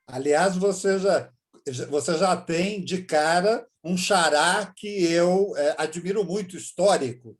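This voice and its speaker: This man talks very slowly in a high pitch, varying it in an ordinary way. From Brazil, São Paulo. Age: 60s. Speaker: journalist and chess master. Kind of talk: interview.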